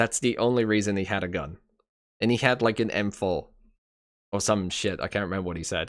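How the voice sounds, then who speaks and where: A man's fairly low voice with an American accent, ordinary pitch variation and a fairly quick pace broken by long, frequent pauses, on a very clean recording with a silent background. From England. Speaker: streamer. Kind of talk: casual chat. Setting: live stream. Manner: halting, repeats words.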